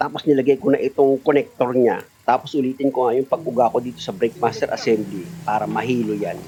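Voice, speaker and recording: Over noticeable background noise, a man talks very fast. His pitch is medium, with ordinary variation. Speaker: auto mechanic. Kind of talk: tutorial. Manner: loud; animated.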